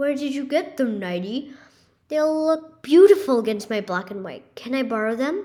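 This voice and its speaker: A woman puts on a character voice, high-pitched and delivered at a moderate pace. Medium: read story.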